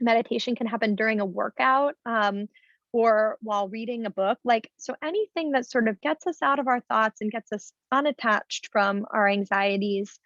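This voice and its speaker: An ordinary speaking voice from a woman, fairly high in pitch with ordinary pitch variation, at a moderate pace, dry and close with no echo against a quiet background. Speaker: clinical psychologist. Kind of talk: webinar talk.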